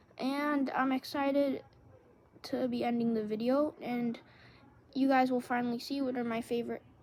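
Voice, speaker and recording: This woman's voice sits high in pitch, with a monotone, flat intonation. She leaves long, frequent pauses. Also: moderate pace. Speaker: YouTuber ranking TV seasons. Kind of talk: casual commentary video. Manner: hesitant with frequent fillers.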